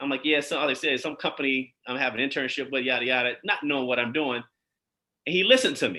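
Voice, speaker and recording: A very fast-talking man with a bright, sharp tone, medium pitch and fairly even intonation. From Chicago South Side. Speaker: eye surgeon. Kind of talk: interview. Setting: live online show.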